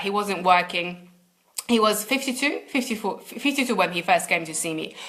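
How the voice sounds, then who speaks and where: A fairly quick pace with a non-native accent and ordinary pitch variation. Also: woman. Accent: foreign accent, second-language English. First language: not English. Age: 30s. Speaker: success coach. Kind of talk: live webinar coaching talk. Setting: livestream video. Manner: hesitant, many repeated words.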